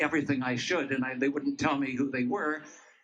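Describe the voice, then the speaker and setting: A man talks with fairly even intonation, and the room gives off an audible echo. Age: 80s+. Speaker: rally speaker, retired personal trainer. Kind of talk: public speech at rally. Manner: halting, many fillers.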